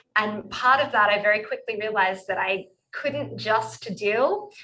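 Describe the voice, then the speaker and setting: A woman with an Australian accent speaks at a fairly slow pace. Her medium pitch carries a bright, sharp tone. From rural Australia. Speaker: sexologist and couples therapist. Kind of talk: interview. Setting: video call.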